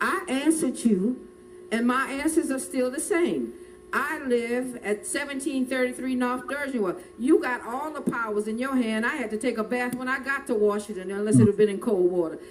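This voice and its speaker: With lively intonation, a woman speaks in an animated tone at a moderate pace. Her pitch is high. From New Orleans, Louisiana. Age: 60s. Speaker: hurricane survivor witness. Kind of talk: testimony.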